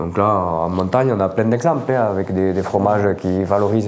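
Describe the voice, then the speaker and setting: A man's fairly low voice at a moderate pace with ordinary pitch variation, set against noticeable background noise. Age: 50s. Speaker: farmer. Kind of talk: interview.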